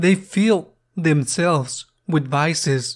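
Pitch shifts in an ordinary manner. Behind it lies a silent background in a very clean recording. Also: man. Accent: Spanish. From Spain. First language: Spanish. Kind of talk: homily at Mass, earnest preaching. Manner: earnest, slow and deliberate; reflective, repeats questions for emphasis.

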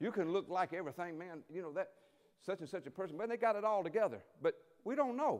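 Over a quiet background, a man with a high pitch speaks at a very fast pace in an animated tone with lively intonation. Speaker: preacher. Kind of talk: sermon. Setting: church with congregation. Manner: animated, call-and-response preaching. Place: church. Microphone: headset.

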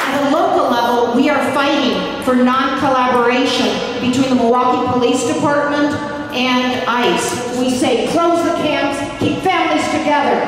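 A woman's high-pitched voice with fairly even intonation, very even loudness and moderate pace, strong room echo and light background noise. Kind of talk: rally speech. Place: hall.

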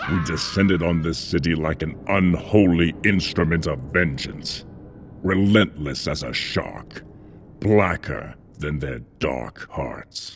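A man's very deep, low-pitched voice with lively intonation. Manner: cold, measured, contemptuous.

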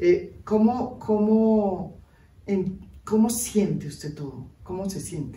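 A woman talks slowly in a dark, mellow tone at a medium pitch. The room adds audible echo.

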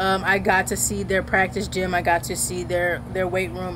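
A woman keeps a moderate pace over noticeable background noise. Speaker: content creator. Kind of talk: casual vlog chat. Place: garden.

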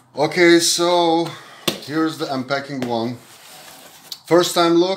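Audible room echo surrounds a man speaking slowly at a fairly high pitch. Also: ordinary pitch variation.

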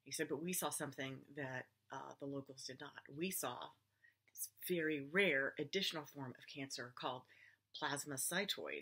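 Her pitch is very deep and low for a woman, with a bright, sharp tone and fairly even intonation. She keeps a moderate pace, with long, frequent pauses and big swings in loudness. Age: 50s. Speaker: cancer patient vlogger. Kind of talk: personal testimony. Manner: casual, conversational with fillers. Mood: earnest, worried, emotional. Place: home room. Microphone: webcam.

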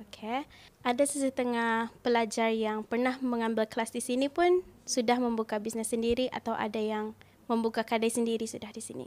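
On a very clean recording with a silent background, a woman at fairly high pitch speaks at a moderate pace with fairly even intonation. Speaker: tailoring business owner and sewing teacher. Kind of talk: interview. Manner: halting, many fillers.

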